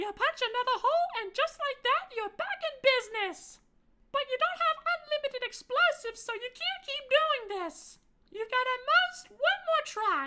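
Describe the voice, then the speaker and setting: A squeaky woman's voice at an extremely high pitch, with very wide pitch swings and a moderate pace. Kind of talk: tabletop game narration. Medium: actual play. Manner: dry, matter-of-fact.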